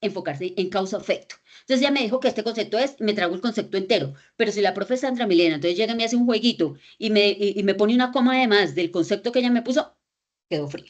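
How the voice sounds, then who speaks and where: At a very fast pace, a woman with a fairly high pitch speaks with lively intonation. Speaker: lecturer on critical reading. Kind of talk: lecture. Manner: animated.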